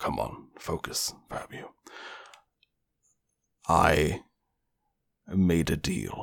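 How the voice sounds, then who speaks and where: A put-on character voice from a man, raspy and very deep, at a very slow pace with long, frequent pauses. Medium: actual play. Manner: measured, reflective.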